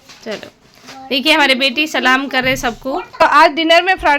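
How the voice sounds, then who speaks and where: A woman with high pitch, ordinary pitch variation and a moderate pace, amid noticeable background noise. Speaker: vlogger. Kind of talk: casual vlog narration.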